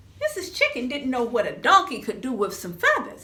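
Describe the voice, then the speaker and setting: A woman's high, raised and projected voice with very wide pitch swings. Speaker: professional storyteller. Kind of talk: children's storytelling performance.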